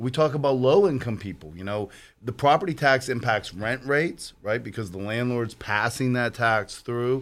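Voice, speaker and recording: A man with an unremarkable speaking voice talks in an American accent at a medium pitch and moderate pace, his intonation lively. The recording is very clean, with a silent background. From western Pennsylvania (Aliquippa). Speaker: lawyer and political candidate. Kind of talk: radio talk show interview.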